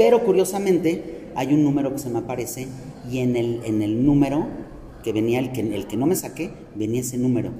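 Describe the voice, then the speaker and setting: With audible room echo, a medium-pitched man talks at a fairly quick pace, showing ordinary pitch variation. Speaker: podcast host and ice cream/chocolate business owner. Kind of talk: casual chat. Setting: shopping mall.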